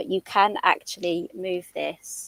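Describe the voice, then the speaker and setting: In a British accent, a woman speaks at medium pitch, the sound dry and close with no echo. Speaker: craft designer and live demonstrator. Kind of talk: live craft demonstration. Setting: livestream.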